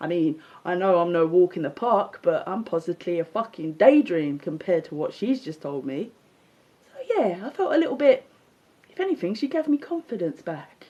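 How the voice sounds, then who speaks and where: With a London accent, a woman talks at a fairly quick pace and medium pitch in an animated tone, her pitch swinging very widely and her loudness rising and falling a lot over noticeable background noise. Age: 40s. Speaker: social media livestreamer. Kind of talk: casual monologue rant. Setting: live stream. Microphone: unstable connection.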